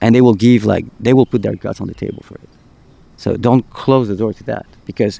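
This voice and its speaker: A man speaks with a non-native accent in a dark, mellow tone, his intonation fairly even and the sound dry and close with no echo. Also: medium pitch for a man, fairly quick pace. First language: not English. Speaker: podcast host. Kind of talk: casual chat. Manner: halting, repeats words.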